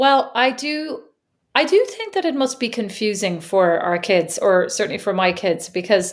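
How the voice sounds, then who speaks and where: A woman's voice with an Irish accent. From Ireland. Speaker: podcast co-host. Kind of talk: casual chat.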